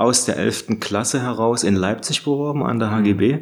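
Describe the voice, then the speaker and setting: A man speaks at a moderate pace in a plain, everyday voice. His pitch is medium, and his intonation stays fairly even. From Saxony, Radeberg near Dresden. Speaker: illustration professor and animator. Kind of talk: casual interview. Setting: studio atelier.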